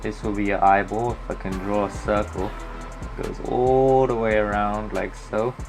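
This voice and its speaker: At a moderate pace, a man speaks with music in the background. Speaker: digital art tutorial maker. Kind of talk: casual tutorial narration.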